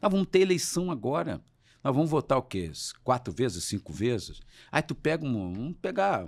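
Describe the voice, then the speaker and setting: Recorded very cleanly against a silent background, a man speaks at medium pitch and a moderate pace with very wide pitch swings. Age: 60s. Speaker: trade unionist and former politician. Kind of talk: interview. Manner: animated.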